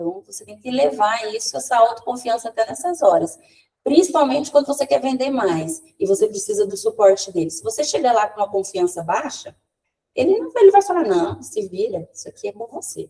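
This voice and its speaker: A woman at a fairly high pitch and fairly quick pace, with very wide pitch swings and big swings in loudness. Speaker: communication trainer. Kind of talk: online training talk. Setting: video call. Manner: fast; animated.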